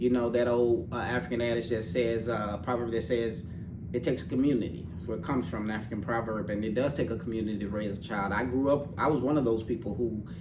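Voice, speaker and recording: A man talks at a very fast pace in a medium pitch with fairly even intonation, over noticeable background noise and audible room echo. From Little Rock, Arkansas, US South. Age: 40s. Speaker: financial services professional. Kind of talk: interview conversation.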